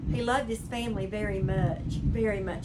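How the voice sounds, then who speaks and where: With an American accent, a woman speaks in a space with audible room echo. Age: 70s. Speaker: crochet hobby vlogger. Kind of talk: casual chat. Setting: sunroom at home. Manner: relaxed, conversational.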